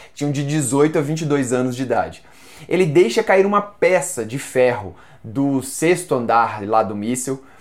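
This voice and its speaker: Lively intonation runs through a man's fairly high-pitched voice. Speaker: book YouTuber. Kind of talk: book review video. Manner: animated.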